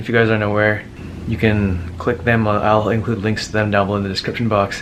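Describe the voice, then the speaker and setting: A man with a fairly low pitch talks at a very fast pace in a monotone, flat intonation. Audible room echo and noticeable background noise come through on the recording. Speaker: medical student vlogger. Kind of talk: casual vlog talk.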